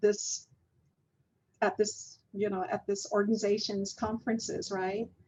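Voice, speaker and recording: Somewhat breathy, a woman speaks in a fairly high voice. Her pace is fairly slow. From US Southwest, Navajo Nation. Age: 50s. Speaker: physician and public health researcher. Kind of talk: interview conversation.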